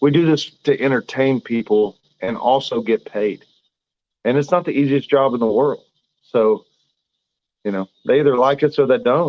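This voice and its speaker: Speaking with a Southern US accent, a man with a medium pitch and ordinary pitch variation leaves long, frequent pauses. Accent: southern drawl. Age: 30s. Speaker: professional boxer. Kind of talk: interview. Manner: halting.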